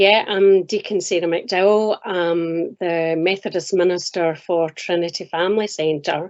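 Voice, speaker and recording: Fairly even intonation and a fairly slow pace from a woman at medium pitch. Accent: Scottish. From Scotland. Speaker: minister and chaplain. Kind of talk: interview.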